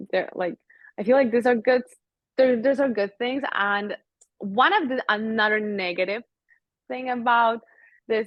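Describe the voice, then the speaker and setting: A woman speaks with a non-native accent at a fairly high pitch. She leaves long, frequent pauses. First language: not English. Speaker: model. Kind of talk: interview. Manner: hesitant, many fillers.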